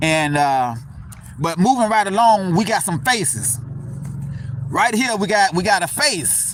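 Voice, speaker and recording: Someone with a Southern US accent speaks at a fairly slow pace with long, frequent pauses and very wide pitch swings. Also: man, high pitch for a man. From US South. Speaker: cemetery tour vlogger. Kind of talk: casual vlog narration. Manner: conversational, hesitant.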